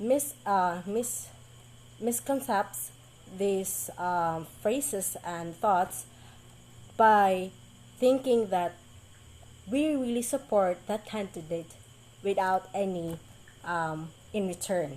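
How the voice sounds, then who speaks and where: A woman speaks with a Visayan Filipino accent at a very slow pace. Her pauses are long and frequent. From Philippines, Mindanao (Bisaya speaker). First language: Bisaya. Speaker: college student. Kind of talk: class presentation. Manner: halting, many fillers.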